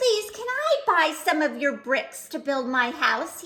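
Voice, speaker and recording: A woman uses a put-on character voice, squeaky and extremely high in pitch. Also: fairly slow pace. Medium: read story. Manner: polite.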